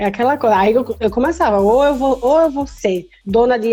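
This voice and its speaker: A woman speaks at a moderate pace with a fairly high pitch. Noticeable background noise runs underneath. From Brazil, Recife (Pernambuco). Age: 20s. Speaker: cystic fibrosis patient podcaster. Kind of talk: casual chat.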